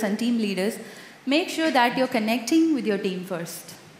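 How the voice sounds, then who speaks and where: In a Tamil accent, a woman talks with lively intonation at a fairly high pitch, and the room echo is audible. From India, Madurai (Tamil Nadu). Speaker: conference speaker, software tester. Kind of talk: conference talk with Q&A.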